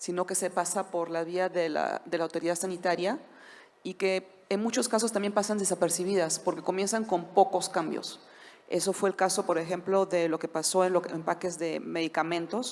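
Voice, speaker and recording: At a moderate pace, a woman with a non-native accent speaks in a medium pitch with fairly even intonation. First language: not Spanish (speaking Spanish). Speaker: corporate trademark lawyer. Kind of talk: conference panel talk.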